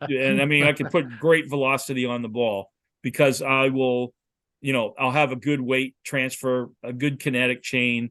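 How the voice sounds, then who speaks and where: A man's bright, sharp voice at medium pitch, monotone and flat, at a moderate pace against a quiet background. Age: 60s. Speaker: football quarterback coach. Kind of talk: lecture.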